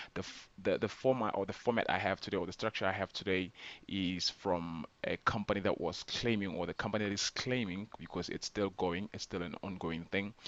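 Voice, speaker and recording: Against a quiet background, the speech moves at a fairly quick pace with fairly even intonation. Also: man, fairly low pitch for a man, hardly any pauses. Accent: non-native. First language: not English. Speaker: scam awareness vlogger. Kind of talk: informal explainer video. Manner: hesitant, many fillers.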